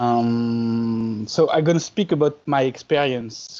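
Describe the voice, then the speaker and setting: Speaking in a French accent, a man uses a medium pitch and a dark, mellow tone, with ordinary pitch variation at a fairly slow pace. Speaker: art and design teacher. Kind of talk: reading aloud.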